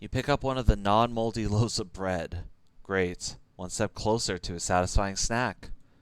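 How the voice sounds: The voice reads in a natural manner. That natural reading quality holds from start to finish.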